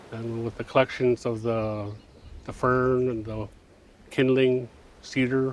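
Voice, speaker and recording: Holding a medium pitch, a man keeps to a monotone, flat intonation. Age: 60s. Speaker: knowledge keeper. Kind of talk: interview testimony. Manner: casual, halting with fillers.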